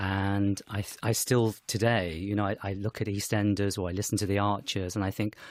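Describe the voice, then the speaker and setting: A man with a British accent speaks at a fairly quick pace with hardly any pauses, his fairly low voice flat and monotone, on a very clean recording with a silent background. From England, Herefordshire (from age six). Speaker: actor and writer. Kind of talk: radio interview.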